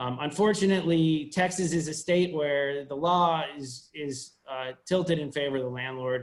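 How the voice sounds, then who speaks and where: This man talks in a fairly high voice with fairly even intonation. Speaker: staff attorney. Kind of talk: presentation to a virtual town hall. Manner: fast; halting, many fillers and restarts.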